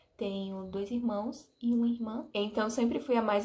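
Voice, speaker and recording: Speaking with an Alagoas accent, a woman has an animated tone and lively intonation. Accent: Alagoas accent, noticeable. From Brazil, Alagoas (interior). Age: 20s. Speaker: vlogger. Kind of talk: casual vlog talk to camera.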